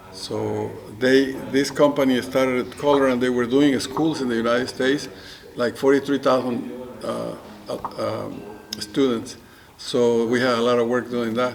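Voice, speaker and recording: Noticeable background noise sits behind a man speaking at a moderate pace. His medium-pitched voice stays monotone and flat. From Mexico. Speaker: photographer. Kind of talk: oral history interview answer.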